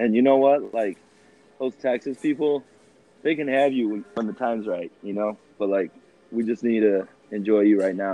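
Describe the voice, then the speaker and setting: Speaking in a Midwestern American accent, a man has a medium pitch and a moderate pace. He leaves long, frequent pauses. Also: ordinary pitch variation. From Rockford, Illinois, US Midwest. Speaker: podcast guest. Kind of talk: testimony. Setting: phone call. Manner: animated.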